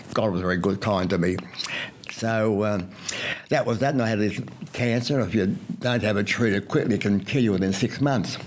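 With an Australian accent, a man talks at a fairly quick pace in a fairly low voice, using very even loudness, ordinary pitch variation and long, frequent pauses. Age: 90s. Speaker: retired doctor and radio health presenter. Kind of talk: interview. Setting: at home. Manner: halting.

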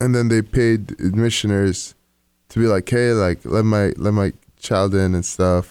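A man with a plain, everyday voice talks at a fairly slow pace in a fairly low pitch, keeping his loudness very even. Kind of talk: radio DJ patter, joking banter heading into a break. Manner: laid-back, jokey, warm and upbeat.

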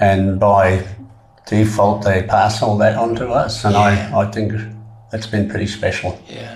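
With noticeable background noise behind him, a man speaks at a fairly slow pace in a fairly low pitch and a monotone, flat intonation. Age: 70s. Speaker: trekker. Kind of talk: interview. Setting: studio.

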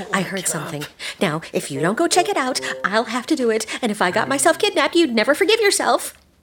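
A woman's high voice with very wide pitch swings at a very fast pace, over noticeable background noise. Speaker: mouse character in audio drama. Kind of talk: fairy-tale audio drama, acted dialogue. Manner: sweet, worried, doting.

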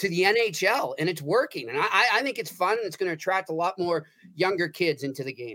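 A man with an American accent uses a raised, projected voice at a high pitch and a fairly quick pace. His tone is bright and sharp, with lively intonation. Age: 40s. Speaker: sports writer. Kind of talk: casual sports discussion.

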